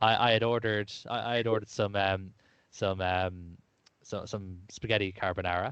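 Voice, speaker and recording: With an Irish accent, a man speaks at a moderate pace in a fairly low pitch, keeping his intonation fairly even. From Ireland. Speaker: podcast host. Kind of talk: casual chat.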